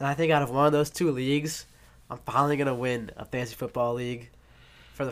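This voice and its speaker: A man with an American accent, fairly high in pitch, at a very fast pace with fairly even intonation. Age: young. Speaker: podcast host, college student. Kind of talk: casual chat. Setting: dorm room.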